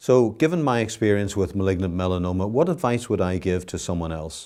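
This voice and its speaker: With a Northern Irish accent, a man speaks at a moderate pace in a fairly low pitch and a dark, mellow tone, with ordinary pitch variation. The recording is very clean, with a silent background. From Northern Ireland, Belfast. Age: 60s. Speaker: cancer survivor. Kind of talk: testimony.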